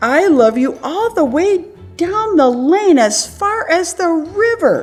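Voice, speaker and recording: Over clear background music, a woman uses a put-on character voice pitched extremely high, speaking at a fairly slow pace. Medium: read story. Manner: eager, affectionate.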